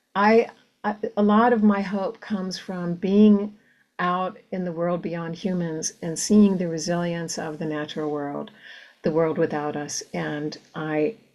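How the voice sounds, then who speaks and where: Her voice sits at a fairly low pitch, and its pitch variation is ordinary. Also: fairly slow pace, very clean recording, silent background. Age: 60s. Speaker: novelist. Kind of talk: conversational interview. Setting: virtual event. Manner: halting with many fillers.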